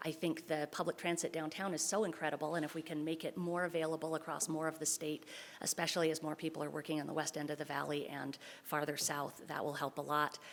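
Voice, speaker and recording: A woman speaks at a very fast pace. Her very deep, low pitch holds a monotone, flat intonation. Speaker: council seat applicant. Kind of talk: public comment statement.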